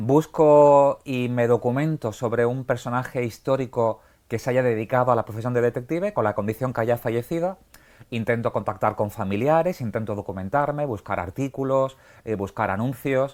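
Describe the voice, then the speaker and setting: Over a silent background on a very clean recording, a man speaks at a moderate pace with a medium pitch and ordinary pitch variation. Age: 40s. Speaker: podcaster and writer on detective stories. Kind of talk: TV interview. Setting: TV set in a bookshop. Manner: halting with fillers.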